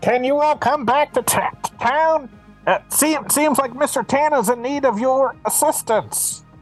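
A put-on character voice with a high pitch moves at a fairly slow pace while music plays clearly in the background.

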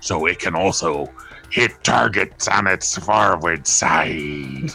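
A man's put-on character voice, very deep and low in pitch, at a very slow pace with clear music in the background. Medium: actual play. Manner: stilted, literal.

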